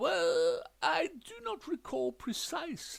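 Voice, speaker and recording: A man's put-on character voice at an extremely high pitch, delivered at a very slow pace. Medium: read story. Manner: stiff, prim, clipped.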